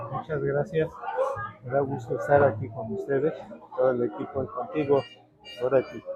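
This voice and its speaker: A man at a moderate pace and fairly high pitch, with ordinary pitch variation, long, frequent pauses and music in the background. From Mexico City area (Tlalpan since age 13). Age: 70s. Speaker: chronicler and economist. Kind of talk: interview.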